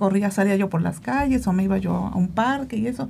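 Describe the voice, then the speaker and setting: A woman with a dark, mellow, somewhat breathy tone talks at a moderate pace on a very clean recording with a silent background. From Veracruz, Mexico. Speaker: amateur marathon runner. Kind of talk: casual interview.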